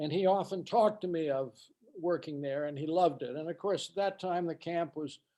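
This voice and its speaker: This man's voice has a dark, mellow tone and a fairly even intonation. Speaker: former camp counselor, alumnus. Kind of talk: reminiscence at virtual event. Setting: video call.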